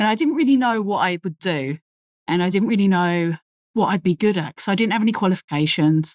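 This woman has a London accent, a medium pitch and lively intonation at a fairly quick pace. The recording is very clean with a silent background and a dry, close sound with no echo. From London, England. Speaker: crane operator and technical officer. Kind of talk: casual interview chat. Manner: talkative.

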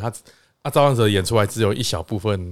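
A normal speaking voice from a man, medium in pitch with ordinary pitch variation, on a very clean recording with a silent background. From Taiwan. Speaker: political staffer. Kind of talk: casual chat.

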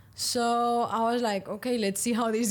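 A woman is speaking. She has a Spanish accent. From Spain, Valencia. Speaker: professional padel player. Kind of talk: interview.

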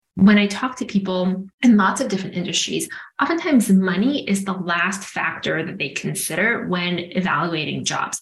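A woman's somewhat breathy voice at a medium pitch. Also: ordinary pitch variation, moderate pace. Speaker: executive coach. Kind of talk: interview.

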